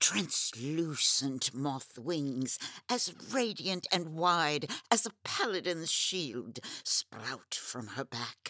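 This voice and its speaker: The speaker uses a middle pitch at a very slow pace, on a very clean recording with a silent background. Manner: ornate, haughty.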